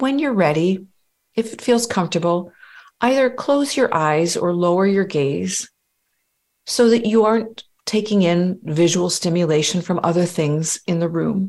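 This woman has a plain, everyday voice of medium pitch. She talks fairly slowly with lively intonation. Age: 50s. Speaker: life coach. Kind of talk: guided meditation; interview conversation.

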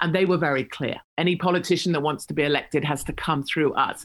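Here a woman speaks in an English accent. Her pitch varies in an ordinary way. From England. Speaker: political commentator. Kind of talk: interview.

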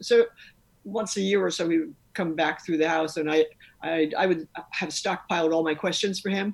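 Talking at a fairly quick pace, a woman with an American accent uses an ordinary speaking voice, a fairly low pitch and ordinary pitch variation. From New York City. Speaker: author and rock climber. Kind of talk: interview.

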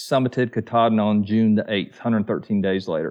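Against a quiet background, a man talks with a Southern US accent and ordinary pitch variation. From US South, Georgia near Atlanta. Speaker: thru-hiker, YouTuber, Marine veteran. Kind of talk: casual chat.

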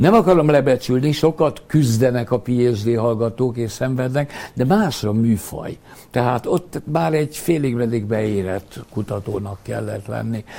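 A man's dark, mellow voice moves at a fairly slow pace. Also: medium pitch for a man, ordinary pitch variation. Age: 80s+. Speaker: sports physician and professor emeritus. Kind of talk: interview. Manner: hesitant with repeated fillers.

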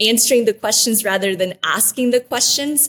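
This voice has a Midwestern US accent and ordinary variation in pitch. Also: woman. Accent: US Midwest. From Guatemala, raised in Wichita, Kansas from age eight. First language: Spanish. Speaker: former TV reporter and mayoral candidate. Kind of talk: interview. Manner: warm, grateful.

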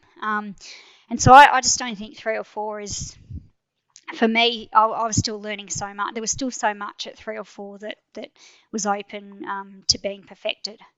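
At a moderate pace, a woman with a fairly high pitch speaks with big swings in loudness. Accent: Australian. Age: 40s. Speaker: endurance mountain biker. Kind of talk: interview.

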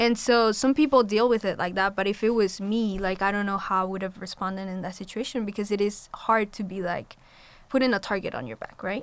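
A woman talks at a fairly quick pace. Her pitch is medium and her intonation fairly even. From Colombia. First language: Spanish. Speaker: college student. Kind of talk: panel discussion.

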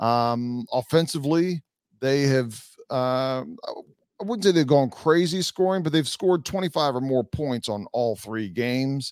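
In a plain, everyday voice, a man at medium pitch speaks at a fairly slow pace with lively intonation and a dry, close sound with no echo. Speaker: podcast host. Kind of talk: casual sports podcast chat.

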